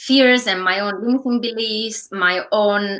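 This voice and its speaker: At a fairly slow pace, a woman with an Italian accent speaks in a bright, sharp tone. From Italy. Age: 30s. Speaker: online entrepreneur. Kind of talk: interview.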